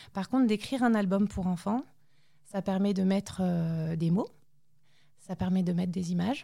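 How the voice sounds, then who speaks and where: In a very clean recording with a silent background, a woman with a dark, mellow tone and medium pitch talks at a moderate pace, somewhat breathy, with ordinary pitch variation and long, frequent pauses. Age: 30s. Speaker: mother of premature babies. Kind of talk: testimony.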